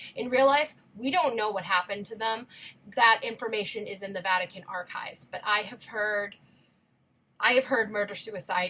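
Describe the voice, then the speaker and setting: Bright and sharp in tone, a woman's fairly high voice moves at a fairly quick pace. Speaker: musical theatre performer and video creator. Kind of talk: casual chat. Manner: fast; animated.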